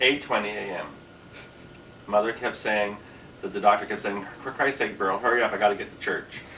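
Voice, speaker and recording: With a Canadian accent, the speaker keeps a fairly even intonation and leaves long, frequent pauses. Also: man, fairly low pitch for a man. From Canada, Ontario (Kingston). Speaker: drag queen comedian. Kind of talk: interview. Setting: dressing room.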